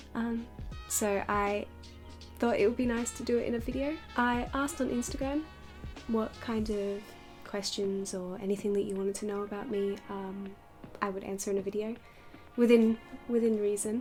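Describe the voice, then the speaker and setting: Soft-spoken, a woman talks at a moderate pace and a fairly high pitch, pausing long and often. Her intonation stays fairly even while music plays in the background. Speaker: doll maker YouTuber. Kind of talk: casual chat. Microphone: poor audio quality.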